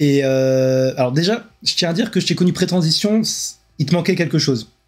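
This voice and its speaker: Music plays in the background as a man speaks at a fairly high pitch. His pace is moderate, with ordinary pitch variation. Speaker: livestream host. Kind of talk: interview. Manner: casual.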